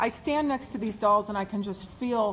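A woman talks at a moderate pace in an enthusiastic tone, with ordinary pitch variation and light background noise. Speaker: online video host. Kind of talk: live video interview. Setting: indoors at event venue. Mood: excited, enthusiastic. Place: meeting room. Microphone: phone near.

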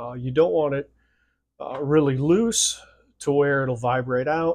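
Pitch variation stays ordinary as the words come at a moderate pace. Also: man. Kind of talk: tutorial. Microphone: phone near.

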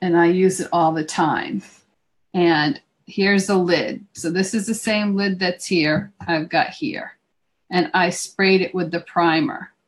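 At a fairly slow pace, a woman talks in a normal speaking voice with fairly low pitch. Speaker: craft instructor. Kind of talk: tutorial. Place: home room. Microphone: video call.

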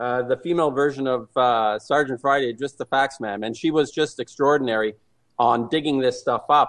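A man uses a normal speaking voice, talking fairly quickly with fairly even intonation. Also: medium pitch for a man. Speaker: anti-nuclear activist. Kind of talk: radio interview. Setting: phone call.

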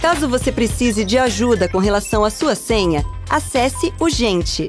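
A woman speaks at a high pitch with very wide pitch swings. Music plays in the background. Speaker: voice-over artist. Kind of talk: corporate tutorial narration. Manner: natural, conversational.

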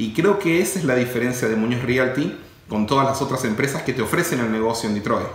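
A man talks at a very fast pace with ordinary pitch variation. Audible room echo surrounds his voice. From Argentina. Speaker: real estate company CEO; interviewee. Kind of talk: interview. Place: office.

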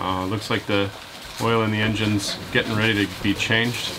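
A man talks in a fairly low pitch while noticeable background noise goes on around him. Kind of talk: casual vlog chat. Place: boat. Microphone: phone near.

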